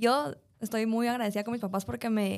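In a very clean recording with a silent background, a woman with an unremarkable speaking voice talks at a medium pitch and a moderate pace. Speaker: podcast co-host. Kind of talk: casual chat.

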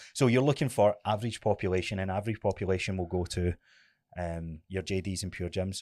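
Very deep and low, a man's voice carries a Scottish accent, ordinary pitch variation and a fairly quick pace. The recording is very clean and dry, close-sounding with no echo and a silent background. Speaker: personal trainer. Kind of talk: casual chat.

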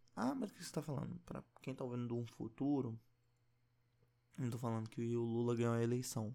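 Soft-spoken and dark, mellow in tone, the voice comes through on a very clean recording with a silent background. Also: man. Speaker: podcaster. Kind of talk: casual monologue. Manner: quiet, speaking softly.

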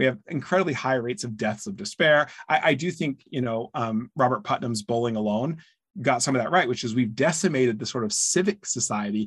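A man with an American accent and an ordinary speaking voice talks at a fairly quick pace with a medium pitch and lively intonation. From rural US. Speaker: author and think tank founder. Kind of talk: interview conversation.

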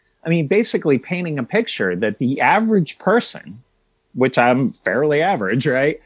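Over a very clean recording with a silent background, a man speaks at a moderate pace and fairly high pitch, with vocal fry and very wide pitch swings. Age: 40s. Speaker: journalist and author. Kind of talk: interview conversation.

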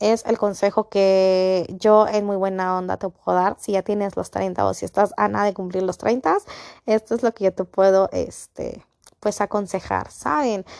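A woman's medium-pitched voice in monotone, flat intonation at a fairly slow pace, dry and close with no echo against a quiet background. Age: 30s. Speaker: podcast host. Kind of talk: casual solo podcast monologue.

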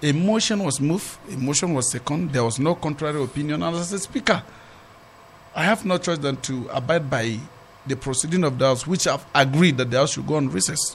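A man with a fairly high pitch talks at a fairly quick pace. His intonation is lively over noticeable background noise. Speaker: politician. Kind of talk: studio interview. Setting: studio.

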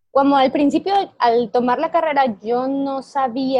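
The sound is dry and close, with no echo. Pitch variation is ordinary. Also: woman. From Ecuador. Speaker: software engineer and tech lead. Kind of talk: interview.

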